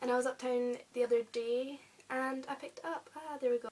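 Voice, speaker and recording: A woman with an English accent and a high pitch talks over noticeable background noise. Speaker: YouTuber. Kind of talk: casual vlog. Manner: hesitant; soft-spoken.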